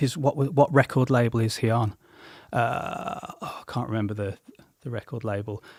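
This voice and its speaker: On a very clean recording with a silent background, a somewhat breathy voice moves at a moderate pace with ordinary pitch variation, big swings in loudness, and long, frequent pauses. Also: man, medium pitch for a man. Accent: English Midlands. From England, Coventry. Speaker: musician and songwriter. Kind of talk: casual chat. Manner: halting.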